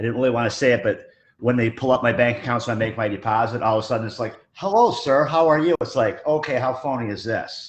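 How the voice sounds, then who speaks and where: Speaking very fast with hardly any pauses, a man keeps a medium pitch. His pitch variation is ordinary. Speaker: truck repair business owner. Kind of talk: casual discussion. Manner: loud.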